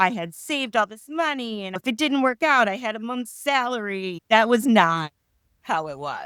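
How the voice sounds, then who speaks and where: Bright, sharp and animated, a woman's fairly high-pitched voice makes very wide pitch swings and big swings in loudness in a dry, close sound with no echo. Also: moderate pace. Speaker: career pivot guest. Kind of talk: interview conversation.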